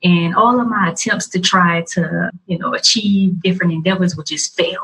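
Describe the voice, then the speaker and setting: A woman in a Louisiana accent, fairly low in pitch with ordinary variation, at a fairly quick pace. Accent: Southern US, Louisiana. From US South, Louisiana (Morgan City). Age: 20s. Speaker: video blogger and podcaster. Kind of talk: interview.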